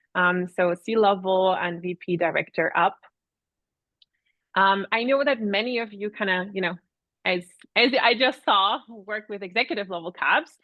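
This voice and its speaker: With a slight Austrian accent, a woman speaks at a moderate pace and medium pitch, showing ordinary pitch variation and long, frequent pauses. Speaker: product advisory manager. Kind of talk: webinar presentation. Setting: online webinar.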